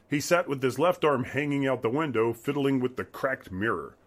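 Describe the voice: Pitch moves in an ordinary way. The delivery is plain reading aloud.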